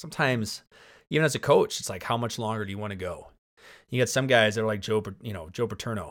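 An animated American-accented man at a very fast pace, medium-pitched, with big swings in loudness and ordinary pitch variation. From Spokane, Washington, US. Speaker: high school football coach. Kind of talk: casual chat. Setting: basement home studio. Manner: animated, talks with hands.

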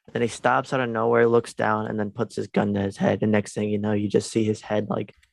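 This man has an unremarkable speaking voice, fairly low in pitch, with fairly even intonation and a moderate pace. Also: dry, close sound with no echo. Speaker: podcast co-host. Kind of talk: casual chat. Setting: video call.

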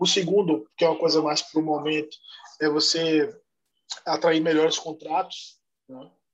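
A man speaks at a moderate pace and fairly high pitch, with fairly even intonation. His loudness swings widely, and he takes long, frequent pauses. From Salvador, Bahia, Brazil. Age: 30s. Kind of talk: podcast interview.

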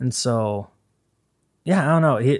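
Over a very clean recording with a silent background, a man with an American accent talks at a fairly quick pace in a plain, everyday voice. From Idaho, Boise. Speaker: record label owner and bassist. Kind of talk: casual chat. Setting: podcast interview.

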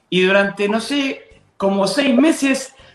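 A man with an Argentine accent at a moderate pace. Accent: Rioplatense Argentine Spanish. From Buenos Aires, Argentina (southern suburbs). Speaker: pastor. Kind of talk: interview testimony and preaching. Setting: video call.

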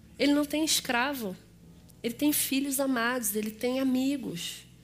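A woman speaks at a high pitch in a Rio de Janeiro accent. The room echo is audible. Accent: Rio de Janeiro (carioca). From Rio de Janeiro, Brazil. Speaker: guest preacher and teacher. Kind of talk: sermon. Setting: church service.

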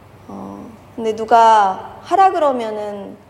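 With very wide pitch swings, a woman speaks in a fairly high voice over noticeable background noise. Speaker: pastor. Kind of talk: sermon. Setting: church.

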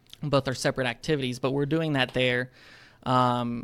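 Monotone, flat intonation marks this man's medium-pitched voice, delivered at a moderate pace. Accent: Alabama. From North Alabama, US South. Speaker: aerospace engineer. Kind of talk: casual interview.

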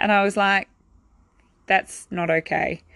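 In a New Zealand accent, a woman speaks at a medium pitch with fairly even intonation against a quiet background. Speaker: physiotherapist. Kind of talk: personal storytelling monologue.

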